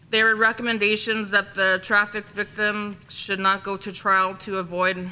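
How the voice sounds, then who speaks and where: This woman's voice has a bright, sharp tone at medium pitch, delivered in a flat monotone. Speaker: women's council presenter. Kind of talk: reading aloud a report. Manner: fast.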